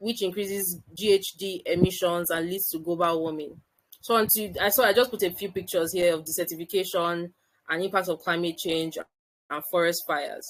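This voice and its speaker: A woman's voice at a fairly quick pace, with fairly even intonation. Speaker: medical doctor and climate-health expert. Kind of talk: webinar presentation. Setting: online video call webinar. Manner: fast.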